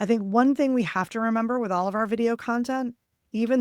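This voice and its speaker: A woman speaks in a New Jersey accent. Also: dry, close sound with no echo. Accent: New Jersey American. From New Jersey, US. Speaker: webinar presenter, video marketing trainer. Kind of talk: webinar presentation. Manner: casual, conversational.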